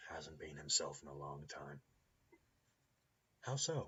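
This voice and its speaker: A man puts on a raspy character voice. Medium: solo performance. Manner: blunt, casual.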